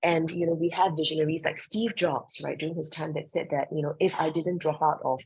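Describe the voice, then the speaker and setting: A woman speaks with a fairly low pitch and a somewhat breathy quality. Her pace is fairly quick, with hardly any pauses and fairly even intonation. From Singapore. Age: 40s. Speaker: creative director and professor. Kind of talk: interview.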